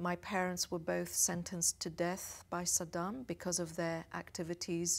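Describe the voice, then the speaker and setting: On a very clean recording with a silent background, a woman speaks in a British accent at a fairly low pitch. Her intonation is monotone and flat, and her pace is moderate. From England, London suburb. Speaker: diplomat. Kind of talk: interview. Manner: hesitant with fillers.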